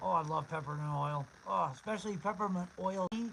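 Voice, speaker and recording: Against noticeable background noise, a high-pitched man talks at a fairly slow pace with ordinary pitch variation. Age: 50s. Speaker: homeless camper livestreamer. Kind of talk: casual livestream chat. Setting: live stream. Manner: halting.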